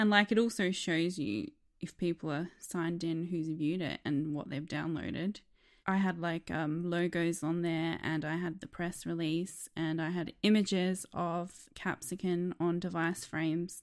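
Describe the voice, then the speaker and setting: This woman has an Australian accent and a fairly low pitch. She speaks at a moderate pace with fairly even intonation. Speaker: app designer. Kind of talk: casual interview.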